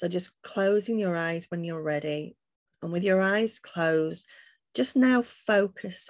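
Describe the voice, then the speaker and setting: In a very clean recording with a silent background and a dry, close sound with no echo, a woman with a plain, everyday voice speaks at a fairly low pitch and a fairly slow pace with ordinary pitch variation. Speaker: healer and angelic channel. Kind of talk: guided meditation, leading listeners through breathing and visualisation. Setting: podcast interview. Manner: slow, soothing, calm and gentle, with long pauses.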